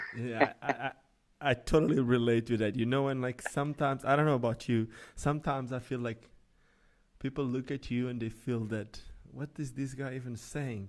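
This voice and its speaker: Over a very clean recording with a silent background, a man with a Portuguese accent talks fairly quickly at medium pitch with fairly even intonation. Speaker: podcast host. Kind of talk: casual interview.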